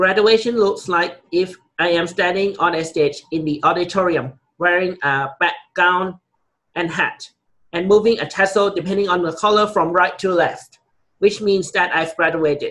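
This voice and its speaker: At a moderate pace, a man with a Thai accent speaks in a high pitch with a bright, sharp tone and fairly even intonation. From Thailand. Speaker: college student. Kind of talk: class presentation speech. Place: office.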